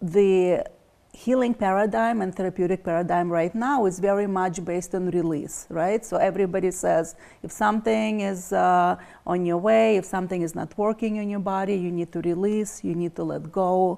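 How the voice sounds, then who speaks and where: In a Russian accent, a woman with a dark, mellow tone speaks at a medium pitch and moderate pace with ordinary pitch variation, on a very clean recording with a silent background. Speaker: energy healer. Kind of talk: interview.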